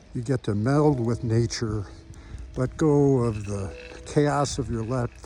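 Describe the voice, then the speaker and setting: Music plays in the background. A man talks fairly slowly with ordinary pitch variation. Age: 60s. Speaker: hiker. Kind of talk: testimony. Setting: outdoors on a mountain.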